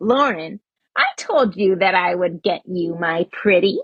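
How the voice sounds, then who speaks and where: A woman's put-on character voice at medium pitch. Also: fairly slow pace. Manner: menacing, cackling.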